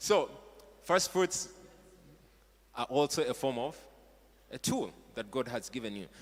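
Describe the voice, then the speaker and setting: Long, frequent pauses from a man with a Ugandan accent, medium pitch, lively intonation and a fairly slow pace. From Uganda (Buganda). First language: Luganda. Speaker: pastor. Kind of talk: sermon. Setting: church stage with audience. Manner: animated.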